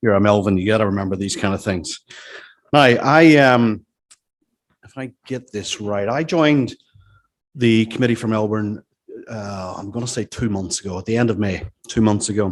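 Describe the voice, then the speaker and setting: Loudness swings widely as a man with a Northern Irish accent speaks, leaving long, frequent pauses. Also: fairly low pitch for a man, ordinary pitch variation, moderate pace. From Northern Ireland. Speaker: business executive. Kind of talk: after-dinner talk. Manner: halting.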